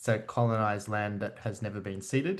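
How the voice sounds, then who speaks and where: Over a quiet background, a man talks at a moderate pace in an ordinary speaking voice with ordinary pitch variation. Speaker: media artist and educator. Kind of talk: online presentation. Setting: video call.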